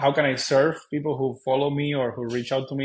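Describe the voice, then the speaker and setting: The delivery is at a moderate pace with monotone, flat intonation. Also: man. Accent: Cuban. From Cuba. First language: Spanish. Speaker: real estate investor. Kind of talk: interview conversation. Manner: hesitant, many fillers.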